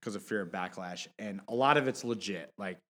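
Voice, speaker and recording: In a plain, everyday voice with an American accent, the speaker moves at a fairly quick pace with ordinary pitch variation, on a very clean recording with a silent background. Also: man. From Michigan, Detroit. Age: 30s. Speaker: fantasy basketball friend, prospective co-host. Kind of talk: casual chat.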